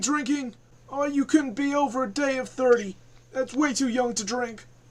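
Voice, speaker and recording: Gruff and high-pitched, this put-on character voice moves at a moderate pace. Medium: actual play. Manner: gruff, folksy.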